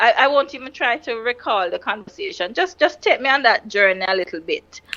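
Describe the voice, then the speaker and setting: A woman's high voice with very wide pitch swings, a fairly quick pace and noticeable background noise. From Jamaica. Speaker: podcast host. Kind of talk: interview conversation. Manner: talkative.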